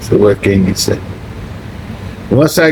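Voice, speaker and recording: A man speaks in an animated tone at a moderate pace, with noticeable background noise behind him. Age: 60s. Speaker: retired expat vlogger. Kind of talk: casual vlog monologue.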